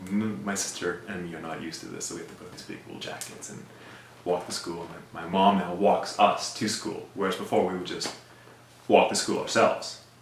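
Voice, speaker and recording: Over noticeable background noise and audible room echo, a man talks at a fairly quick pace with big swings in loudness. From South Africa. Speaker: immigrant sharing life story. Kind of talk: personal storytelling interview. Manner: casual, conversational with fillers.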